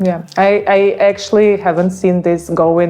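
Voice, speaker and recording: This woman speaks at a fairly slow pace with a Ukrainian accent. Her pitch is medium, and there is noticeable background noise. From Ukraine. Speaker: realtor and interviewer. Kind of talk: casual interview. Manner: halting.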